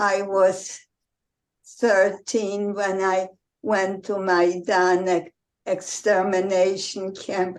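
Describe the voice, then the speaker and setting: At a very slow pace, a woman speaks in a monotone, flat intonation at a medium pitch. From Poland, Warsaw. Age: 90s. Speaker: Holocaust survivor. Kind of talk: testimony.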